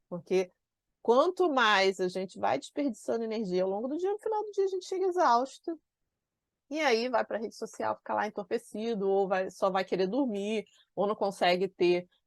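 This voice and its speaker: A woman talks at a moderate pace with a medium pitch, an animated tone, and lively intonation. The background is quiet, and the sound is dry and close with no echo. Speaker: productivity and organization coach. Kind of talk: online class.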